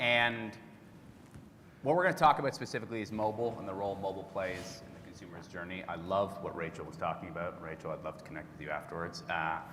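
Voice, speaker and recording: With a Canadian accent, a man speaks at a very deep, low pitch and a fairly quick pace, with ordinary pitch variation. His bright, sharp tone carries audible room echo. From Canada. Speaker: tech industry executive. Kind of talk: conference presentation.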